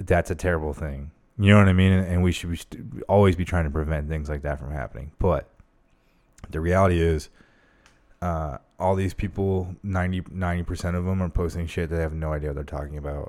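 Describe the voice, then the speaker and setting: Very deep and low in pitch, a man with an American accent speaks at a fairly quick pace, keeping his intonation fairly even and pausing long and often. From Arizona. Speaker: military veteran. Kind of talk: casual chat.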